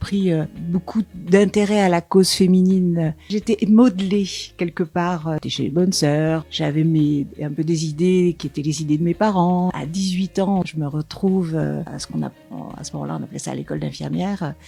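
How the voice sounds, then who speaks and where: Fairly low in pitch, a woman's dark, mellow voice moves at a moderate pace with fairly even intonation, in a very clean recording with a silent background. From Paris suburbs, France. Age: 70s. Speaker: sexologist, former nurse and teacher. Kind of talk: interview testimony. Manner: hesitant, with many fillers.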